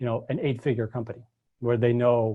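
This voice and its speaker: A man talks at a medium pitch. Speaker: copywriting and e-commerce teacher. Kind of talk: live webinar lecture. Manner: fast.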